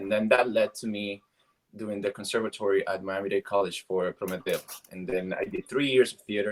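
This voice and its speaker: Speaking with a Cuban accent at a moderate pace, a man uses a fairly low pitch and fairly even intonation. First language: Spanish. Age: 30s. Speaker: actor. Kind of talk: interview. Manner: halting.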